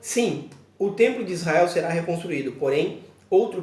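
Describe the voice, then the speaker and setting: A man speaks at a fairly slow pace with a high pitch. Audible room echo and noticeable background noise fill the recording. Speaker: pastor. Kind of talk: bible teaching video. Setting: church children's room, alone.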